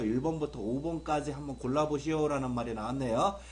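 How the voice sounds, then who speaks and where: A man speaks at a very fast pace and fairly high pitch in an animated tone. Noticeable background noise and audible room echo surround him. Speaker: English grammar teacher. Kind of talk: video lecture.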